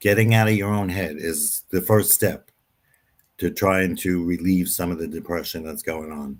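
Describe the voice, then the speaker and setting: With an American accent, a man speaks at a moderate pace with a very deep, low pitch and fairly even intonation. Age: 70s. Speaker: guest speaker on mental health. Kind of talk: interview discussion. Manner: halting, many fillers.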